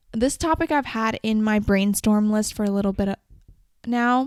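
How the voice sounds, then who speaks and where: An ordinary speaking voice at a moderate pace, with ordinary pitch variation, a dry, close sound free of echo, and a very clean recording over a silent background. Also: woman. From Canada. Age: 20s. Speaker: podcast host. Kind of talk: solo podcast monologue. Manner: casual, conversational.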